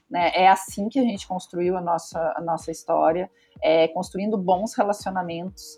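At a moderate pace, a woman with a medium pitch and fairly even intonation speaks in an unremarkable speaking voice. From southern Brazil, Pelotas (Rio Grande do Sul). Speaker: design studio director. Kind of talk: interview. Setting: studio.

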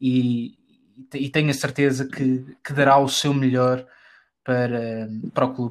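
A man speaks at a medium pitch in a flat monotone. His pace is fairly slow, with long, frequent pauses. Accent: Lisbon. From Portugal, Lisbon. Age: 20s. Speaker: football podcaster, club fan. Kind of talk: casual interview chat. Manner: halting, many repetitions.

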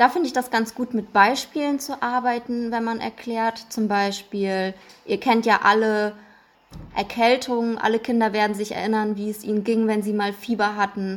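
With fairly even intonation, a woman speaks in an unremarkable speaking voice. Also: fairly high pitch for a woman, moderate pace. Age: 20s. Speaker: clinical psychologist. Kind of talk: podcast interview.

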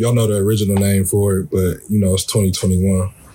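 The speaker has an American accent and keeps a moderate pace. Noticeable background noise sits behind the voice. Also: man. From Columbus, Ohio, US Midwest. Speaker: podcast co-host and coach. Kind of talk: casual chat.

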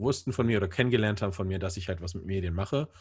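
The man's voice is somewhat breathy and fairly low in pitch. His pitch varies in an ordinary way. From northern Germany, Bremen. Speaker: church media producer. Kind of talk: casual interview. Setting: video call.

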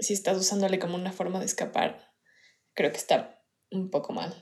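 Her tone is dark and mellow as a woman with a medium pitch talks at a moderate pace, with fairly even intonation and long, frequent pauses. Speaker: podcast co-host. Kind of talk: casual chat. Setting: recorded remotely, separately.

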